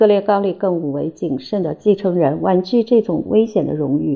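In an ordinary speaking voice, a woman talks with ordinary pitch variation at a moderate pace. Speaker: audiobook narrator. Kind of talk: reading aloud.

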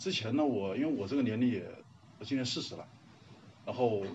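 Lively intonation carries through audible room echo. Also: man. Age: 30s. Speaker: workshop participant and film fan. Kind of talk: self-introduction to a class.

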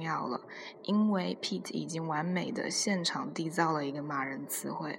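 A woman's fairly low pitch with vocal fry and ordinary pitch variation, at a fairly slow pace in audible room echo. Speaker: podcast host. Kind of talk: casual monologue.

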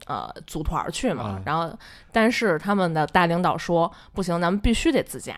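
A woman with a fairly low pitch and vocal fry talks at a moderate pace with lively intonation. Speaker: office worker sharing workplace stories. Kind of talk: casual chat. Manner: squeezed, pitched-up voice to disguise identity.

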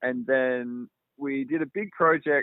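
The speaker is a man. He has an Australian accent. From Australia, outside Melbourne. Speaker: film director and cinematographer. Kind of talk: interview. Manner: casual, many fillers.

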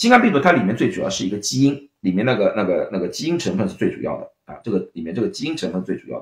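Very rapid male speech, loudness rising and falling sharply. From China, Shanghai. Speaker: clinical pharmacist and science video host. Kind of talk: livestream science lecture. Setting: livestream. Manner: hesitant, many fillers.

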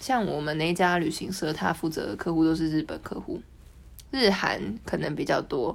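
A woman speaks at a fairly low pitch with lively intonation. Hers is an unremarkable speaking voice. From Taiwan. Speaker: social media editor and Russian translator. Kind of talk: casual interview.

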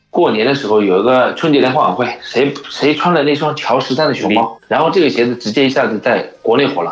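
A man at a fairly quick pace with ordinary pitch variation, against noticeable background noise. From China. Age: 30s. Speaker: sneaker shop owner. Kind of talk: casual chat.

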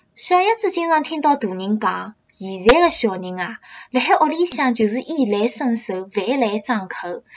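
A woman keeps a moderate pace while her pitch swings very widely. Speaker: student studying abroad. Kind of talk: scripted monologue.

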